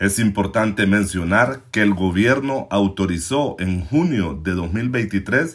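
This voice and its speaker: A man's fairly low voice at a very slow pace with lively intonation, recorded very cleanly against a silent background. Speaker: news podcast host. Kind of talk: scripted news commentary. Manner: formal.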